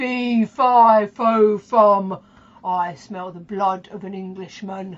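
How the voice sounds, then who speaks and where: A put-on character voice with a rumbling sound. It moves at a very slow pace. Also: woman, medium pitch for a woman. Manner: booming, fearsome.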